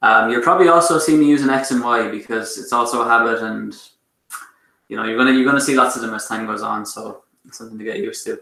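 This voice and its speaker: In a room with audible echo, a man talks at a very fast pace with an Irish accent. His pitch is medium, with ordinary pitch variation. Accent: Irish, th sounds pronounced as t. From Ireland. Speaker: math lecturer. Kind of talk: online lecture. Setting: online class with chat. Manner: hesitant with many fillers.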